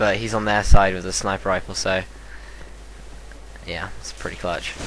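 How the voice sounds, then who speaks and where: A man talks at a moderate pace, his loudness swinging widely, with audible room echo and noticeable background noise. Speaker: gaming commentator. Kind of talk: gameplay commentary. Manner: casual, hesitant with fillers.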